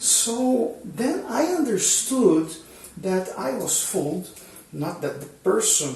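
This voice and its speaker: With a Portuguese accent, a man speaks at a fairly slow pace with lively intonation. Audible room echo and noticeable background noise fill the recording. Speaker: cycling YouTuber. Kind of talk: tutorial. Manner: halting, many fillers and repetitions.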